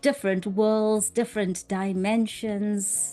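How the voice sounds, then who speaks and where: The voice belongs to a woman and sits fairly high in pitch. Behind her, music can be heard. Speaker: English teacher. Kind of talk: casual talk to camera. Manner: clear, slow, calm.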